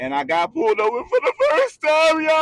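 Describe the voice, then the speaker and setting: In a raised, projected voice, a man speaks at an extremely high pitch with a bright, sharp, animated tone. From Philadelphia, US. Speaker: YouTuber. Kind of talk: casual storytime rant. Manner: loud. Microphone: cheap microphone, may pop.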